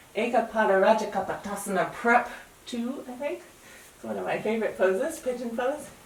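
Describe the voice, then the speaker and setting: A woman with an American accent speaks in a calm, relaxed tone, with audible room echo and noticeable background noise. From US. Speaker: yoga teacher. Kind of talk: guided yoga class.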